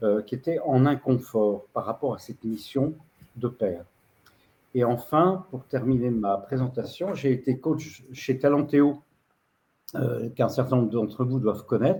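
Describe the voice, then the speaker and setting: With long, frequent pauses and a fairly slow pace, a man speaks at medium pitch in a dark, mellow, somewhat breathy tone with ordinary pitch variation. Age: 70s. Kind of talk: video-call presentation. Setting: video call. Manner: halting, many hesitations.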